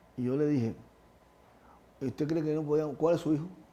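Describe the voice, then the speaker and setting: Fairly quick and fairly high-pitched, a man speaks in a dark, mellow tone. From Cuba, Havana (Lawton). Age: 60s. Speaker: retired Paralympic athlete. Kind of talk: interview. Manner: halting, many repetitions.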